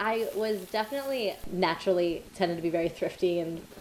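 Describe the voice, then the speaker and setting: A woman with a fairly low pitch and an American accent. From South Florida. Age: 20s. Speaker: PhD student. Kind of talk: interview.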